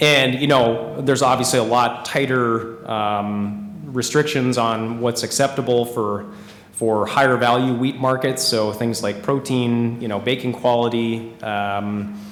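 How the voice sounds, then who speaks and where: A man's fairly even intonation with audible room echo and noticeable background noise. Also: medium pitch for a man, fairly slow pace, hardly any pauses. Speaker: organic agronomist at a seed company. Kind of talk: conference presentation. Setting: conference room with live audience.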